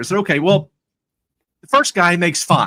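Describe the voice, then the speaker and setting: A man speaks in a high voice. His tone is bright and sharp. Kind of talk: live conversation. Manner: halting, repeats words; animated storytelling.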